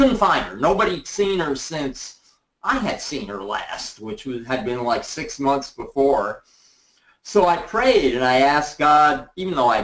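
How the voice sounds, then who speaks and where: With a plain, everyday voice, a man speaks at a fairly slow pace with a fairly high pitch and lively intonation. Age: 60s. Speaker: essential oils distributor. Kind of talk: interview on a group call. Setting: conference call.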